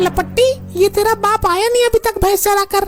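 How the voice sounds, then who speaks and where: A woman puts on a cartoonish character voice at an extremely high pitch. Her intonation is monotone and flat, and her pace is fairly quick. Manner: loud, scolding.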